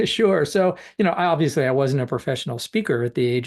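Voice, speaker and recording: Against a quiet background, a man talks very fast with lively intonation. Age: 60s. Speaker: professional speaker and speaker trainer. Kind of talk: interview. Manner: hesitant, many fillers.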